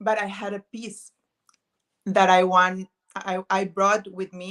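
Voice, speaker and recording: A woman with a Spanish accent speaks at a very slow pace in a monotone, flat intonation, her loudness swinging widely, with a dry, close sound and no echo. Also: medium pitch for a woman. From northern Mexico, Pacific area. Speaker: vintage thrifting video creator. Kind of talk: casual chat. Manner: halting, searching for words.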